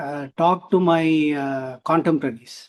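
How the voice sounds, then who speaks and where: A man with a high-pitched voice speaks at a very slow pace against a quiet background. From India, Chennai. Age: 50s. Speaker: historian. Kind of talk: interview. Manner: halting.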